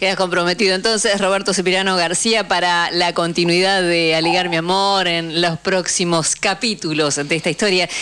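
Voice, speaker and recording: A woman with a fairly low pitch speaks at a moderate pace in a monotone, flat intonation, with very even loudness and hardly any pauses, over noticeable background noise. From Argentina, Neuquén. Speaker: radio host. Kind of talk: radio talk show and announcements.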